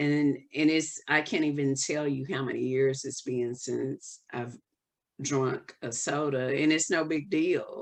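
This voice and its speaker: A woman with a Southern US accent speaks very slowly. Her very deep, low pitch keeps a fairly even intonation. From US South. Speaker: holistic wellness coach. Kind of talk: podcast interview. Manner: casual, hesitant with fillers.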